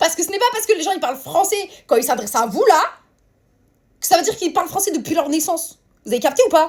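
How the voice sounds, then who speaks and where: The speech runs at a very fast pace. Long pauses come often. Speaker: social media creator. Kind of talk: casual vlog rant. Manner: animated.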